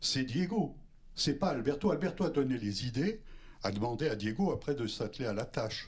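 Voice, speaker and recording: A man's fairly high, somewhat breathy voice with very wide pitch swings. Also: moderate pace. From France. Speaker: documentary filmmaker. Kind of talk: post-screening talk. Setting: cinema with audience. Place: hall. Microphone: handheld.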